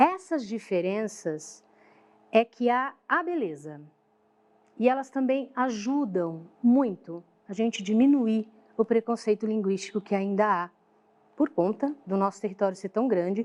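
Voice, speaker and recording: Speech in a São Paulo accent comes at a fairly slow pace, broken by long, frequent pauses. The intonation is lively. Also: woman, fairly high pitch for a woman. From São Paulo, Brazil.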